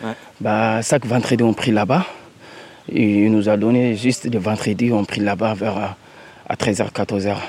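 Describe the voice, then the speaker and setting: A man's fairly low voice at a fairly slow pace, with fairly even intonation and long, frequent pauses. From Mali. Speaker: migrant volunteer. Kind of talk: field interview.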